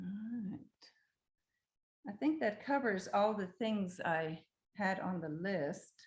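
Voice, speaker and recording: A woman speaks very slowly in a medium-pitched, somewhat breathy voice, with lively intonation and long, frequent pauses. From Germany. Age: 60s. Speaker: homeowner. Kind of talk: home tour presentation. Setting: video call. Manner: halting.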